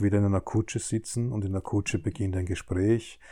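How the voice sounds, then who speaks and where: A man speaks fairly quickly in a fairly low, dark, mellow voice that is somewhat breathy. His intonation is monotone and flat, in a very clean recording with a silent background. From Austria, southern Burgenland. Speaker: children's book author. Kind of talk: casual interview. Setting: at his home.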